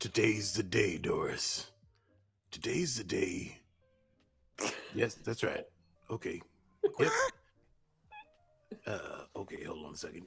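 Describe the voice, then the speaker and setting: A man's raspy, put-on character voice at a fairly slow pace, with big swings in loudness, long and frequent pauses, and music in the background. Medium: actual play. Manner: self-talking, theatrical.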